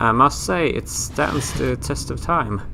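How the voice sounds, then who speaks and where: Noticeable background noise sits behind a man speaking at medium pitch with a Swedish accent. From Sweden. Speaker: gaming youtuber. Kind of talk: let's play commentary. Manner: casual, chatty.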